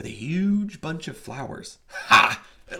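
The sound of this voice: This is an unforced reading voice. The words are simply read aloud.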